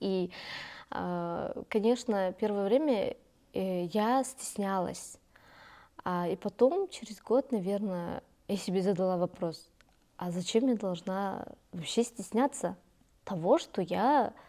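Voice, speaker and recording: A woman with a Kazakh accent speaks very slowly in a dark, mellow tone at a medium pitch, with ordinary pitch variation and long, frequent pauses, in a very clean recording over a silent background. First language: Kazakh (speaking Russian). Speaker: youth leader and community activist. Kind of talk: interview. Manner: many hesitations and fillers.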